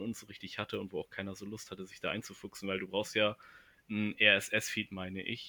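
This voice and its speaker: The speaker is a man with a fairly low pitch. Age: 20s. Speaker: university student. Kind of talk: casual chat. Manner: halting, many fillers.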